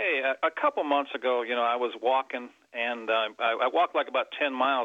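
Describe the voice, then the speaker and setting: At a fairly quick pace, a man talks in an ordinary speaking voice at medium pitch. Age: 60s. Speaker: caller. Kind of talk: phone-in call.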